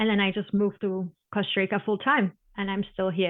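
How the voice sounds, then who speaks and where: A woman with a German accent, medium-pitched, at a fairly quick pace. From Germany. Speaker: sea turtle biologist. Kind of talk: interview. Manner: passionate.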